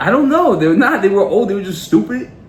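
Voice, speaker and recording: A man talks in a New York accent. Audible room echo surrounds his voice. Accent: New York (Queens), drawn-out vowels. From New York City, Queens. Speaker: podcast co-host. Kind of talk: casual chat. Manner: animated.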